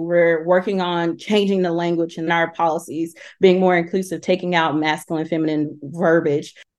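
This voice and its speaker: A woman's fairly low, monotone voice with a Southern US accent, at a moderate pace over a quiet background. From Alabama, Talladega. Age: 30s. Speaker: HR professional and LGBTQ+ advocate. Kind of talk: interview storytelling.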